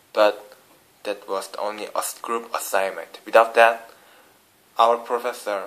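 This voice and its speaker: A man with a Korean accent talks at a fairly slow pace. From South Korea. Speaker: international student. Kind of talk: vlog class report. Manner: halting, many fillers and restarts.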